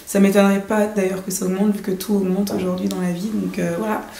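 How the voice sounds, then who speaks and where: Medium-pitched, fairly even speech from a woman, with audible room echo and noticeable background noise. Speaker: fashion designer and YouTuber. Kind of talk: casual advice vlog. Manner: hesitant with many fillers.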